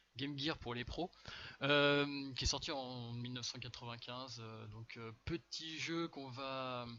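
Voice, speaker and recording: At a fairly slow pace, a man talks with fairly even intonation. His pitch is medium. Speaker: speedrunner streaming for charity. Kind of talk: live gameplay commentary. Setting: live stream charity event. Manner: hesitant, many fillers.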